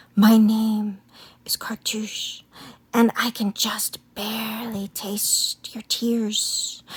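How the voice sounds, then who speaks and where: A woman's soft-spoken, hissing whisper in a put-on character voice at a very slow pace. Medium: read story. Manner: calm, gentle.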